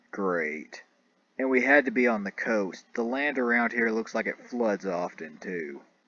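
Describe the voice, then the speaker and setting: This man uses a put-on character voice that is gruff, at a medium pitch. He speaks at a moderate pace. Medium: read story. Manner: awkward, gruff.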